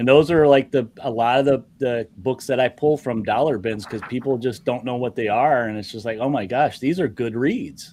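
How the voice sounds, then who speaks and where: A man with a Midwestern accent speaks at medium pitch and a moderate pace, with ordinary pitch variation and hardly any pauses. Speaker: comic art show host. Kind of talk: casual chat.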